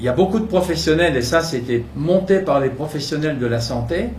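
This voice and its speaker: Amid audible room echo and noticeable background noise, a man talks at a moderate pace with lively intonation. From France, Burgundy. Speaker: local politician, mayoral candidate. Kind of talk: campaign talk. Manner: halting, many hesitations.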